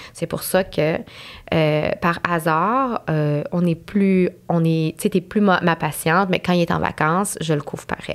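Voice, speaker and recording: A very slow pace from a woman's fairly low voice, its pitch variation ordinary. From Montreal anglophone community, Quebec. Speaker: nurse. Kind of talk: podcast interview. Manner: hesitant, many fillers.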